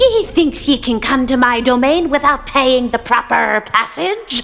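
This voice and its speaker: A female-sounding put-on character voice runs at a moderate pace and high pitch. Light background noise sits behind it. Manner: blustering, menacing, bloodthirsty.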